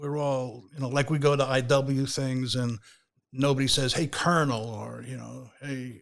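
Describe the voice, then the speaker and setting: On a very clean recording with a silent background, a man at medium pitch talks at a moderate pace in a flat monotone. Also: big swings in loudness. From New York, Queens. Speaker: rabbi and Air Force veteran. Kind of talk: casual interview. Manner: halting.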